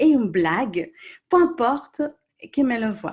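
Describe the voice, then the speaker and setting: At a moderate pace, a woman with a Colombian accent speaks at a high pitch with very wide pitch swings. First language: Spanish (speaking French). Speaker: coach or therapist. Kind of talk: live-stream group discussion.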